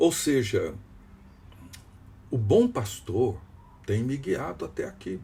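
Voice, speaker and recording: A man talks at a very slow pace with vocal fry and a dark, mellow tone. His pitch swings very widely. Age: 60s. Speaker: pastor. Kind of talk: devotional teaching.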